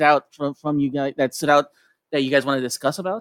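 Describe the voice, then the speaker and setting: Speech from a man races along very fast. The recording is dry and close, without any echo. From Tijuana, Mexico. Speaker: podcast host. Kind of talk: casual chat. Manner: halting, many repetitions and fillers.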